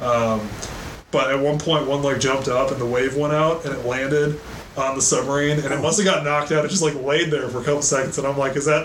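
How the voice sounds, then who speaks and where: A man with a fairly high voice talks at a very fast pace with fairly even intonation. Noticeable background noise can be heard. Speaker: podcast co-host, military veteran. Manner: profane, casual.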